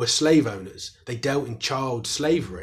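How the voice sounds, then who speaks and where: There is a somewhat breathy quality to this man's voice. His intonation is lively. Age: 30s. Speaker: historian and author. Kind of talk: interview.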